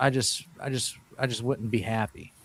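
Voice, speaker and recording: A man talks at a medium pitch. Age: 50s. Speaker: podcast host. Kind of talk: live stream chat. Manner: halting.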